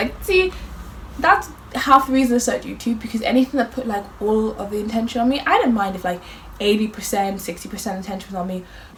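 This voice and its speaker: Over noticeable background noise, a woman with a fairly high pitch talks in an animated tone, her intonation lively. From Ireland. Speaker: youtuber. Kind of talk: casual chat.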